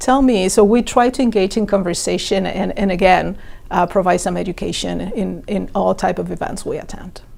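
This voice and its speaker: A woman at a moderate pace, with a Latin American accent. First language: Spanish. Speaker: organ donation outreach worker. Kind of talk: interview.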